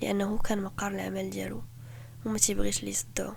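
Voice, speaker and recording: A woman talks at a fairly quick pace. She has a Moroccan accent. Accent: Moroccan Darija. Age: 20s. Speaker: podcast host. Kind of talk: true crime podcast narration.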